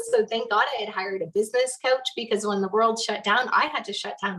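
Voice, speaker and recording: A woman speaks with a Canadian accent. Noticeable background noise sits behind her. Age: 30s. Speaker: business coach. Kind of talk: interview storytelling.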